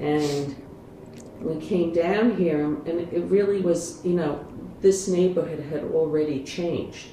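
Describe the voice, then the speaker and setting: Speech at a fairly slow pace comes through noticeable background noise and audible room echo. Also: woman. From New York City, Manhattan Upper West Side. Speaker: retired judge, family lawyer. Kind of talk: casual interview chat.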